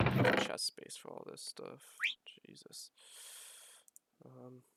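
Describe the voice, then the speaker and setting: A man is whispering, with big swings in loudness. The sound is dry and close, with no echo. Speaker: gaming youtuber. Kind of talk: casual gameplay commentary. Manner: fast.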